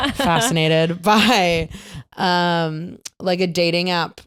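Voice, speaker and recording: Very slowly and with long, frequent pauses, a woman speaks in a slight Wisconsin accent. Her pitch is fairly low, with ordinary variation. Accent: Wisconsin, slight, comes out on some words. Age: 30s. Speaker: podcast host. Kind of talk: casual chat.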